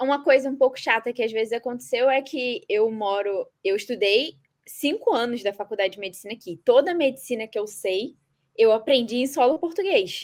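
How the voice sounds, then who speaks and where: A woman speaks at a moderate pace with a high pitch and lively intonation. Her loudness swings widely. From Brazil, Nova Iguaçu, Rio de Janeiro. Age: 20s. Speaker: medical student. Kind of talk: podcast interview.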